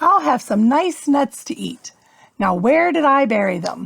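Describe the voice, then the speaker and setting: A woman uses a put-on character voice. It is high-pitched and moves at a moderate pace. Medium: read story.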